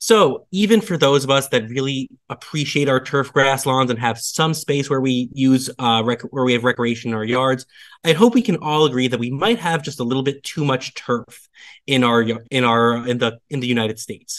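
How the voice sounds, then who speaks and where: A man's medium-pitched voice with ordinary pitch variation over a quiet background. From New York, US. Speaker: bee lawn expert. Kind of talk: lecture. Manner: fast; animated.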